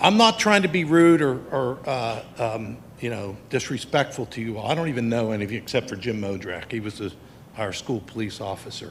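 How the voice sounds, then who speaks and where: He has an ordinary speaking voice, a medium pitch, and an American accent. This man talks at a fairly quick pace with lively intonation. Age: 60s. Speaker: school bus driver, public commenter. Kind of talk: public comment at school board meeting.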